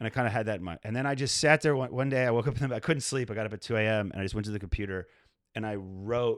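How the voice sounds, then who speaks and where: At a very fast pace, a man with an American accent talks with ordinary pitch variation. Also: very clean recording, silent background. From outside the US. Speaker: stand-up comedian. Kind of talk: casual chat.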